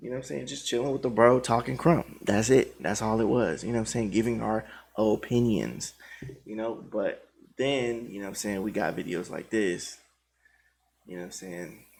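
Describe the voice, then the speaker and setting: With a plain, everyday voice, the speaker moves at a moderate pace, showing ordinary pitch variation and big swings in loudness. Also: man, medium pitch for a man. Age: 30s. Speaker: krump dancer and videographer. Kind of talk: monologue addressing viewers. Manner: casual, repetitive filler phrases.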